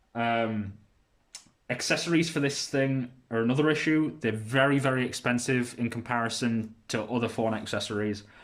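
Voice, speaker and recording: A man speaks with a British accent at a moderate pace. His pitch varies in an ordinary way, and his loudness stays very even. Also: medium pitch for a man. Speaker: tech reviewer. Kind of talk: casual product review. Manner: hesitant, many fillers.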